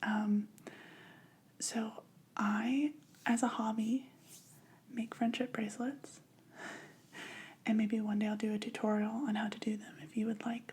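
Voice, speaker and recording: Soft-spoken and somewhat breathy, a woman with a fairly high pitch talks at a fairly slow pace with fairly even intonation and long, frequent pauses. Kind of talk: ASMR craft video talk.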